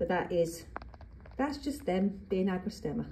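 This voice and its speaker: Her pitch swinging very widely around a medium level, a woman with an English accent speaks at a moderate pace. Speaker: gardening youtuber. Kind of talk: tutorial. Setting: greenhouse. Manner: chatty.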